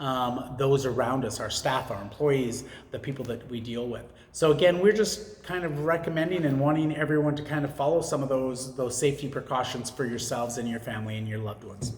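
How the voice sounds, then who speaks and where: Amid noticeable background noise and audible room echo, a man speaks at a fairly quick pace and medium pitch with ordinary pitch variation. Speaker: vlogger and small business owner. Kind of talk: casual monologue. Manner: halting, many fillers.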